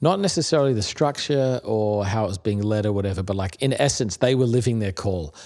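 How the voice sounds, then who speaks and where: A man with an American accent, fairly low pitch and ordinary pitch variation, at a very fast pace with hardly any pauses, on a very clean recording with a silent background. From Australia (Melbourne, Perth, Adelaide). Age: 40s. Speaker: pastor. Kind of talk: casual interview conversation.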